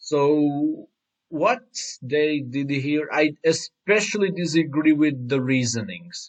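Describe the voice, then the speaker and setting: With a non-native accent, a man speaks very slowly at a fairly high pitch. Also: ordinary pitch variation. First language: not English. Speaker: anime commentary youtuber. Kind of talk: reaction rant. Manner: halting.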